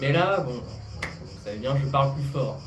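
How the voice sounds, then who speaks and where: A soft-spoken man with a fairly high pitch talks at a fairly slow pace, with audible room echo around him. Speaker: amateur actor. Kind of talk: casual interview chat.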